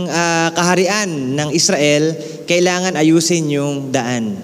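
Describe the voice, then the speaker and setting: Audible room echo, noticeable background noise, and a lively intonation. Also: man. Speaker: pastor. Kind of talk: sermon.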